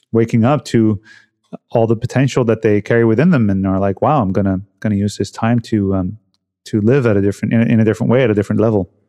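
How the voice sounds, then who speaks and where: Very fast delivery from a man, intonation fairly even. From Netherlands. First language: Dutch. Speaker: health and cold-exposure coach. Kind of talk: casual interview conversation. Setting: remote call.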